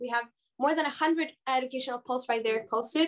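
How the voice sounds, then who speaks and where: A woman's high voice moves along at a fairly quick pace. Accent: Spanish. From Chile. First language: Spanish. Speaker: nonprofit founder. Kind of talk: video call interview.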